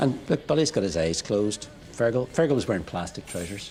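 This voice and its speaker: A man speaks with a Northern Irish accent and a fairly low pitch. His intonation is lively, his pace fairly quick, and background noise is noticeable. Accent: Derry Northern Irish. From Northern Ireland, Derry. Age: 60s. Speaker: punk musician. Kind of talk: casual chat.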